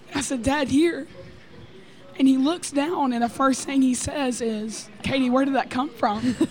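Amid audible room echo and noticeable background noise, a woman talks at a fairly slow pace with a high pitch and ordinary pitch variation. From Texas. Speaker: student. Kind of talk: testimony. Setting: recorded in a busy church building.

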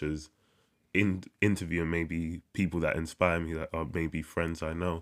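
The man's voice sits very deep and low, with monotone, flat intonation. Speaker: poet and podcast host. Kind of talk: poetry reading, then casual personal talk. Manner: measured, rhythmic, deliberate poetry delivery; casual, slightly self-correcting.

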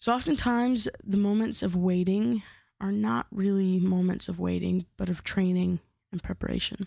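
A woman talks at a moderate pace and medium pitch, her dark, mellow tone showing ordinary pitch variation. The sound is dry and close with no echo, on a very clean recording with a silent background. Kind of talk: devotional teaching monologue. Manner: casual with fillers.

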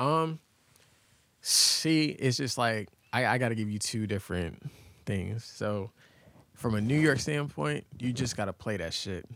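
On a very clean recording with a silent background, a man with an American accent speaks at medium pitch and a fairly slow pace, using lively intonation and long, frequent pauses. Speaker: DJ. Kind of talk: casual chat.

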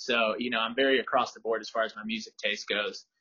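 A man at a medium pitch, very fast pace, ordinary pitch variation. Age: 20s. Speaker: vintage reseller and rollerblader. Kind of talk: casual interview.

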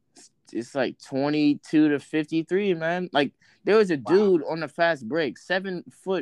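A man with an American accent and an ordinary speaking voice, ordinary pitch variation, dry close sound with no echo, and a quiet background. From Virginia, Richmond area. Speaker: podcast co-host, college student. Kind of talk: casual chat.

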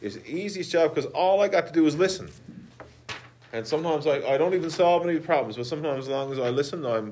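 A man in a Newfoundland accent at a very fast pace, with audible room echo. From Newfoundland, Conception Bay South. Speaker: school guidance counselor. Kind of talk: interview answers.

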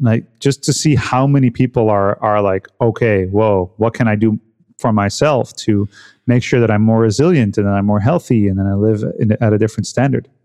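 A man with a fairly low, dark, mellow voice talks at a moderate pace with ordinary pitch variation and very even loudness, in a dry, close recording with no echo over a quiet background. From Netherlands. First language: Dutch. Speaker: health and cold-exposure coach. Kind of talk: casual interview conversation. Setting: remote call.

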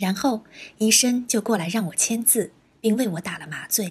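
A woman in a normal speaking voice keeps a moderate pace, her pitch varying in an ordinary way. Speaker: church member giving testimony. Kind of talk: testimony.

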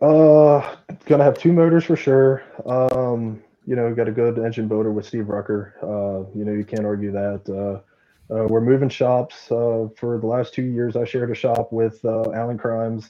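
Using an ordinary speaking voice with an American accent, a man speaks at medium pitch and a moderate pace with fairly even intonation. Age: 20s. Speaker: sprint car driver. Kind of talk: interview.

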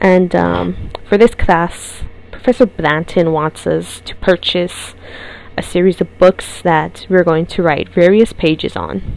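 Noticeable background noise surrounds this recording. A woman speaks at a fairly slow pace. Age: 20s. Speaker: podcast host and journalism student. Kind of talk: solo podcast monologue.

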